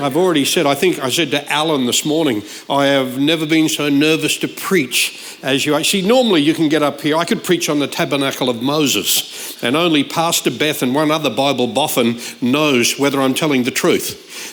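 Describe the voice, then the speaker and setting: With a slight Australian accent, a man speaks at a fairly high pitch with ordinary pitch variation and very even loudness, amid audible room echo and noticeable background noise. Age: 60s. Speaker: guest preacher. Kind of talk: sermon. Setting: church service.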